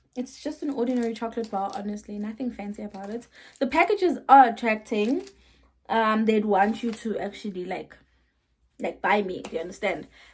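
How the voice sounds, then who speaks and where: Somewhat breathy, a woman with a fairly high pitch speaks at a fairly quick pace with ordinary pitch variation. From South Africa. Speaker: vlogger. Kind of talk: casual vlog talk.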